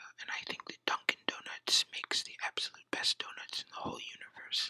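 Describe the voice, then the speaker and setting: The voice is a whisper, moving at a fairly quick pace. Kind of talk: ASMR whisper Q&A survey. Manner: whispered.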